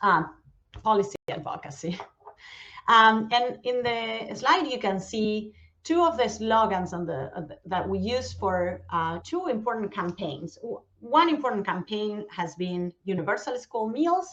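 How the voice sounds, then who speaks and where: Speaking at a fairly slow pace in an Argentine accent, a woman uses a fairly high pitch with very wide pitch swings. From Argentina. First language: Spanish. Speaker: nonprofit outreach manager. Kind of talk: conference presentation. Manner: hesitant, many fillers.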